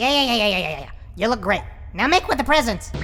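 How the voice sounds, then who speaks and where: A female-sounding cartoonish character voice, high in pitch, races along at a very fast pace. Clear background noise sits behind it. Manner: stammering, repetitive, nervous.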